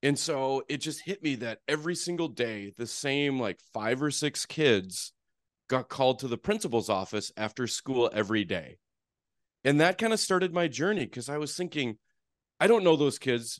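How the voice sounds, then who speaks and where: A man at medium pitch speaks at a moderate pace with very wide pitch swings. The sound is dry and close with no echo, over a quiet background. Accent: North Dakota. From North Dakota (Fargo). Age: 40s. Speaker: therapist and real estate investor. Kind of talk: podcast interview.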